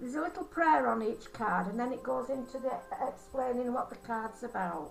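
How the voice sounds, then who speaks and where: Over noticeable background noise, a woman with a Yorkshire accent talks at a fairly quick pace in a high-pitched voice with lively intonation. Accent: broad Yorkshire. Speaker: angel card reader and holistic therapist. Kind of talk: card reading. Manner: halting.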